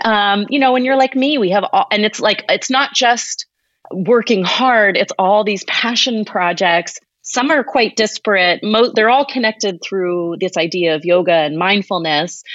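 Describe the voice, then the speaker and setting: This woman has an ordinary speaking voice with a fairly high pitch. She talks at a moderate pace with lively intonation. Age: 40s. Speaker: podcast host and yoga teacher. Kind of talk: casual interview conversation.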